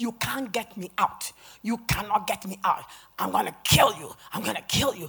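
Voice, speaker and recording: The put-on character voice sits at a fairly high pitch and moves at a moderate pace. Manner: threatening, menacing.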